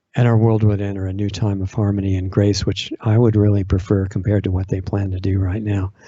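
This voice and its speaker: Monotone, flat intonation from a man with a somewhat breathy voice. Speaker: online radio host.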